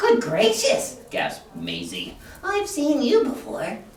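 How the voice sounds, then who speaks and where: Someone puts on a character voice, talking at a fairly slow pace with a slight echo. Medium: read story.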